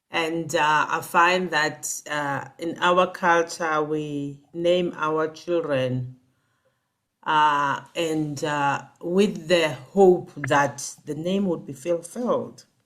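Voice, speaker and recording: A woman with a South African accent speaks at a very slow pace in a very deep, low voice, on a very clean recording with a silent background. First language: Xhosa. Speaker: executive coach. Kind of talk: interview.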